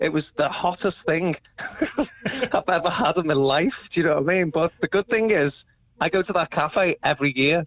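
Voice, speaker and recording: With a Liverpool accent, a man talks at a fairly quick pace, his intonation lively. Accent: Liverpool (Scouse). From England, Liverpool (Crosby). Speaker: tribute band musician. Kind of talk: phone interview. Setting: phone call.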